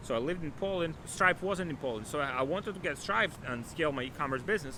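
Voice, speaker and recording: Speaking fairly quickly with a non-native accent, a man uses a high pitch, a bright, sharp tone and lively intonation. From Ukraine. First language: not English. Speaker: e-commerce entrepreneur and coach. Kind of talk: motivational talk to camera. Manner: animated.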